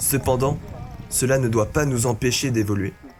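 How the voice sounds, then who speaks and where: With music in the background, a man of medium pitch talks at a moderate pace and with fairly even intonation. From rural France. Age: 20s. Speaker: content creator. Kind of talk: reflective personal voice-over narration.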